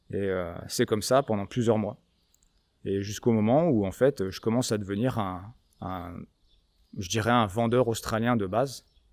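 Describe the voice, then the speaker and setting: The recording is very clean, with a silent background. A man with a fairly low pitch speaks at a moderate pace with ordinary pitch variation and long, frequent pauses. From France. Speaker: gun shop owner. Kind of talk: interview conversation. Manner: casual, hesitant with many fillers.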